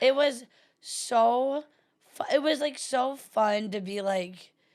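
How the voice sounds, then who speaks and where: At a very slow pace, a woman with an American accent speaks in a high voice with lively intonation. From US South. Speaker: comedian and podcast co-host. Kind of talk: casual chat. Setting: studio. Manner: animated.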